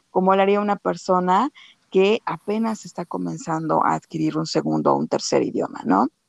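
The dry, close sound with no echo carries a woman's fairly low voice at a moderate pace with ordinary pitch variation. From Mexico. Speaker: podcast host. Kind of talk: casual chat.

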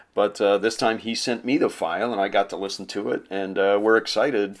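An ordinary speaking voice at a moderate pace, on a very clean recording with a silent background. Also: man. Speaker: podcast co-host. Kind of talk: casual chat.

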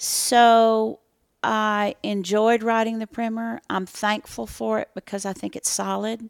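In an American accent, a woman talks at a fairly high pitch with monotone, flat intonation and a fairly slow pace. The recording is very clean, dry and close, with no echo and a silent background. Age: 60s. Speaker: author and speaker. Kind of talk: interview. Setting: in-person interview.

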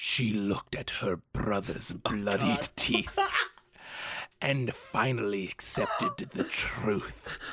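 A raspy, low-pitched put-on character voice at a very slow pace. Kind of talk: exaggerated literary reading. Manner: poetic, dramatic, theatrical.

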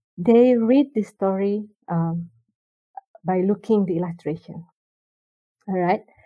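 A woman with an Indonesian accent. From Indonesia, Jakarta. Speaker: children's book illustrator. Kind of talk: casual chat. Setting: remote call.

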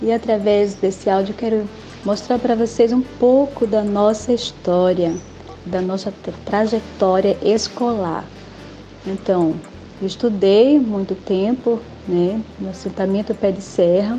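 A woman talks at a very slow pace with long, frequent pauses and fairly even intonation, over noticeable background noise. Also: medium pitch for a woman. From rural Bahia, Brazil. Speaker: former student and parent. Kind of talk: testimony. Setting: recorded audio message.

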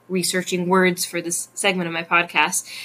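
A woman talks at a fairly quick pace with fairly low pitch. She uses a normal speaking voice. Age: 30s. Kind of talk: casual chat; podcast monologue.

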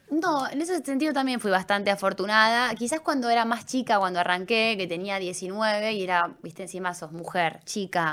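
With hardly any pauses, a woman talks at a moderate pace in an unremarkable speaking voice, her medium pitch carried by lively intonation. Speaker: sports journalist. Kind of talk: casual interview. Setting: studio.

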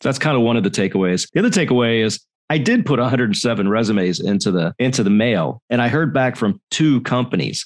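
Speaking at a fairly quick pace with lively intonation, a man in a plain, everyday voice keeps his medium pitch at a very even loudness against a quiet background. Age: 50s. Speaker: design executive. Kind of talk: interview.

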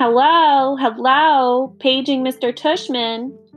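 A woman's high-pitched put-on character voice at a very slow pace, with faint music in the background. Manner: fake, joking.

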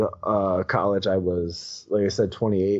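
A man speaks at a fairly low pitch and a very slow pace. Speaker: podcaster and teacher. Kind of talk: casual chat. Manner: animated.

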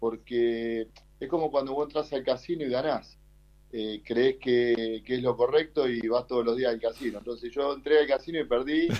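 Fairly even intonation marks the talk of a man with an unremarkable speaking voice. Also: medium pitch for a man, moderate pace. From Argentina, Buenos Aires west (Ciudadela). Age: 40s. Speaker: martial artist and kickboxer. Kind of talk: interview. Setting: remote call.

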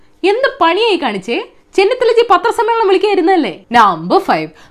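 The background is silent, and the recording is very clean. A woman speaks. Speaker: satirical news presenter. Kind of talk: satirical news roundup. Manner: sarcastic, conversational.

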